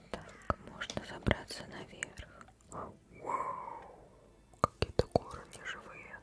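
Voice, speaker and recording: A woman speaks in a whisper. Her very slow delivery has long, frequent pauses. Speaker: ASMR gaming streamer. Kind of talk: gameplay commentary, playing a game. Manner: whispered, soft close-mic. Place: home room.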